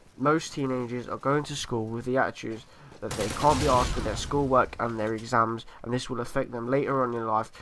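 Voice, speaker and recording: Noticeable background noise sits behind a man with a British accent. His intonation is monotone and flat. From UK. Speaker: gaming YouTuber. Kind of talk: scripted commentary over gameplay. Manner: reading from a script.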